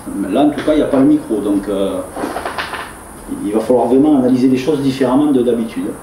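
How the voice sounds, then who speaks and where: At a fairly quick pace but with long, frequent pauses, a man speaks with ordinary pitch variation amid noticeable background noise and audible room echo. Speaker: paranormal investigator. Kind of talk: on-location vlog narration. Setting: indoors at an abandoned farm at night. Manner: soft-spoken.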